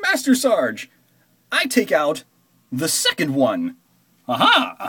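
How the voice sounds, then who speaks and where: A raised, projected voice at a fairly slow pace. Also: man. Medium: fan dub. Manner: cocky, excited.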